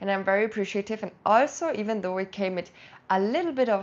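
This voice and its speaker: Against a quiet background, a woman with a German accent talks at a medium pitch with ordinary pitch variation. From South Tyrol, northern Italy. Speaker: language and culture vlogger. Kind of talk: casual vlog talk to camera. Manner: animated; halting, with fillers.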